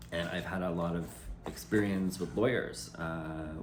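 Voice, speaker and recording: Lively intonation marks a man's very deep, low voice, heard with audible room echo. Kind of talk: personal video message. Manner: loud; halting.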